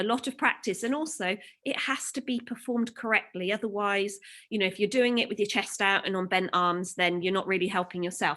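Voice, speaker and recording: Her tone bright and sharp, a woman speaks with ordinary pitch variation. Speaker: gymnastics coach. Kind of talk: live online workout class. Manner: fast; animated.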